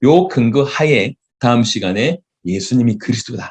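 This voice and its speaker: The intonation is lively. The voice is somewhat breathy. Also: man. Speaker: pastor. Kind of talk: sermon lecture. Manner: halting.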